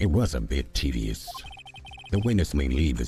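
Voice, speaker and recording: In a put-on character voice, a man speaks at a very deep, low pitch with very wide pitch swings and a moderate pace over clear background noise. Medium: game stream. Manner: formal, ruling.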